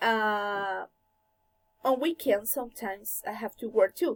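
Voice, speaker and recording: A woman with a Colombian accent speaks at a very slow pace in a dry, close sound with no echo. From Colombia, Bogotá. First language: Spanish. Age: 20s. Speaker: language student. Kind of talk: class presentation. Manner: halting.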